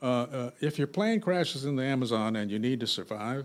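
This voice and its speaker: Here is a man with an American accent and an ordinary speaking voice, pitched at medium. His intonation is lively and his pace moderate. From US, South Central Los Angeles. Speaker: novelist. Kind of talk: casual interview.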